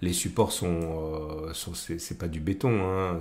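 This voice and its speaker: At a fairly slow pace, a man speaks. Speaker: trading analyst YouTuber. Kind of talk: market analysis tutorial. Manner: hesitant, many fillers.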